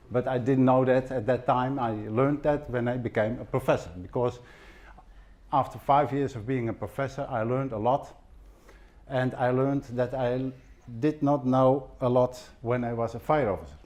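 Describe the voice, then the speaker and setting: This voice has a dark, mellow tone and a Dutch accent, moving at a moderate pace with ordinary pitch variation. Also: man. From Netherlands. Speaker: fire safety professor, former fire officer. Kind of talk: conference presentation. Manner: halting, with fillers and repetitions.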